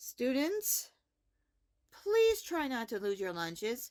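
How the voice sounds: A woman puts on a character voice, speaking slowly at a fairly high pitch with a slightly mellow tone and very wide pitch swings, in a very clean recording with a silent background.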